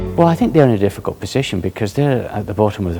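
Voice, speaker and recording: A man with a Scottish accent, music in the background. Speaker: senior lawyer. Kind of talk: interview. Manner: halting, with repeated words.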